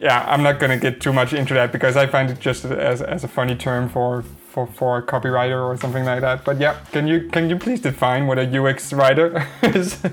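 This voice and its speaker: Against noticeable background noise, a man of medium pitch talks at a fairly quick pace with fairly even intonation and hardly any pauses. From Denmark. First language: Danish. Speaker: podcast host. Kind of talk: casual interview. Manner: hesitant, many fillers.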